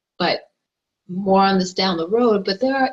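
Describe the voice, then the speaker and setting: Somewhat breathy and fairly slow, a woman talks at a medium pitch with ordinary pitch variation. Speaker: online marketer. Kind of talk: tutorial.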